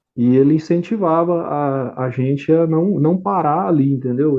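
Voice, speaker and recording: A man's fairly high voice rises and falls with ordinary pitch variation. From Brazil, Goiás (Pontalina). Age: 30s. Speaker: civil engineer. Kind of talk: interview. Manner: halting, with many repetitions.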